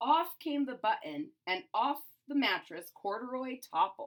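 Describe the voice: The voice has big pitch swings and a fairly bright tone. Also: woman, fairly high pitch for a woman, fairly slow pace.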